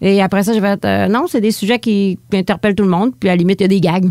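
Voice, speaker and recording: She speaks with a Lac-Saint-Jean accent. Her pace is very fast. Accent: Lac-Saint-Jean Quebec French. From Quebec, Lac-Saint-Jean. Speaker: stand-up comedian. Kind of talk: interview. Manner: casual, eats her words at times.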